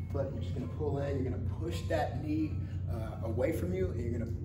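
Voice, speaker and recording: A man at a fairly quick pace over clear background music. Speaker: fitness coach. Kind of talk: tutorial. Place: gym. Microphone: camera far.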